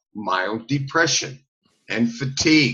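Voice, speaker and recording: The man talks at a very slow pace with fairly even intonation. His tone is bright and sharp. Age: 70s. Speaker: herbalist. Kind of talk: interview. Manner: halting, many fillers.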